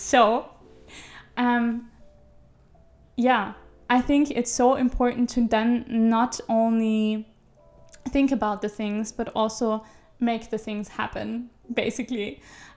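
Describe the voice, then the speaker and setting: Over music in the background, a woman with a fairly high pitch speaks very slowly in a monotone, flat delivery, with long, frequent pauses. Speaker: podcast host. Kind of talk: casual monologue. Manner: relaxed, laid back.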